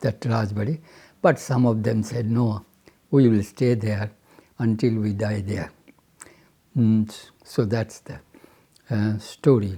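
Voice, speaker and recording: A man with a Bengali accent, a dark, mellow tone, somewhat breathy, at a very slow pace with fairly even intonation. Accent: Indian English, Bengali. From Bengal, India. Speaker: retired chemical engineer. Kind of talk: interview answer. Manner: hesitant, reflective.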